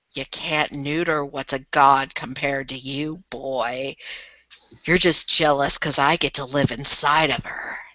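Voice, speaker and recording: A put-on character voice, raspy and pitched low-to-middle. The delivery is fairly slow. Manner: arrogant, mocking.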